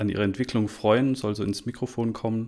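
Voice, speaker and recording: A man speaks in a plain, everyday voice, fairly low in pitch. His intonation stays fairly even. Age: 30s. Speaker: podcast host, father. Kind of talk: casual podcast intro.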